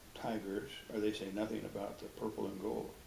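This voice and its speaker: A man speaks with a Pacific Northwest accent at a moderate pace. His fairly low voice is monotone, with flat intonation. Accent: Pacific Northwest American English. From Edmonds, Washington, USA. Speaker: retired dentist. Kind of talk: oral history interview answer. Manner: easygoing, hesitant with fillers.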